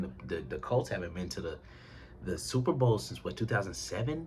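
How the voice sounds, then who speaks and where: A man's animated voice with very wide pitch swings, a fairly quick pace, vocal fry and audible room echo. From Indiana. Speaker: sports commentator on YouTube. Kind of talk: casual commentary vlog. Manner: fast.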